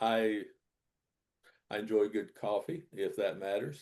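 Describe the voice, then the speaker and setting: With a Southern US accent, a man talks at a medium pitch. His delivery is fairly slow, over a quiet background. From US South, North Carolina. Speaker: Quaker minister and author. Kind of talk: casual interview.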